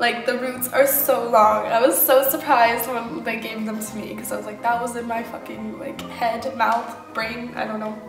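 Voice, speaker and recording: Over clear music in the background, a woman speaks with fairly even intonation. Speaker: vlogger. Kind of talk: casual vlog chat. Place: kitchen. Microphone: phone near.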